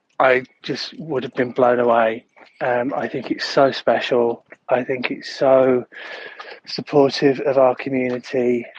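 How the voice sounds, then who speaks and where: Man's medium-pitched voice, fairly slow and monotone, with flat intonation. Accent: Yorkshire. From northern England, Leeds. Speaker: podcast listener. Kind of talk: voice note. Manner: halting.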